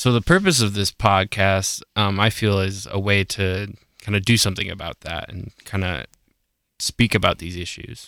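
In a very clean recording with a silent background and a dry, close sound with no echo, a man with an American accent speaks in a bright, sharp tone, with ordinary pitch variation and big swings in loudness. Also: moderate pace. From Colorado. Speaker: podcast co-host. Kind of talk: casual chat. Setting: studio. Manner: halting.

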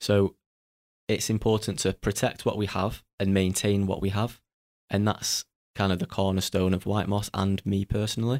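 A man with a Mancunian accent speaks at a moderate pace in a fairly low pitch with monotone, flat intonation, heard in a very clean recording with a silent background and a dry, close sound with no echo. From Salford, Greater Manchester. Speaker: trainee landfill manager. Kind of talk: podcast interview.

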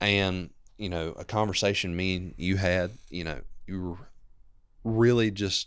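A man speaks with a Southern US accent. His very deep, low voice keeps fairly even intonation. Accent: Southern American. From US South, northeast Georgia. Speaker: church member. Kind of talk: testimony.

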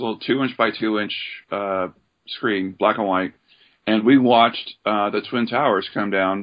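In an American accent, a man with a normal speaking voice talks at a moderate pace and fairly low pitch with fairly even intonation. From Oregon. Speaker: army veteran. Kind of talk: interview.

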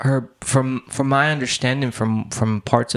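He talks at a fairly slow pace with fairly even intonation. It is an unremarkable speaking voice, belonging to a man. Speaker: interviewer. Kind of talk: interview.

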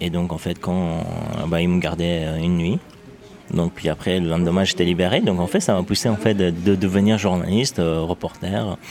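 A man with a very deep, low pitch keeps a moderate pace and fairly even intonation, with noticeable background noise behind him. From Iran (Afghan refugee family). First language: Dari/Persian (speaking French). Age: 20s. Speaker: journalist. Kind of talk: testimony. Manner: halting.

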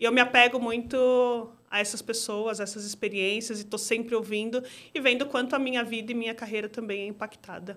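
On a very clean recording with a silent background, a woman talks at a fairly quick pace in a monotone, flat intonation. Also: fairly high pitch for a woman. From Brazil, São Paulo (Zona Norte). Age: 30s. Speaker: product owner at a bank. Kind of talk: interview conversation.

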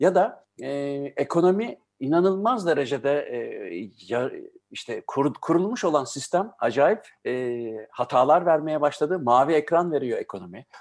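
Against a quiet background, a man with a fairly high pitch and lively intonation talks at a fairly slow pace with long, frequent pauses. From Germany-born, Turkish family. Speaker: radio host. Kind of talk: casual interview.

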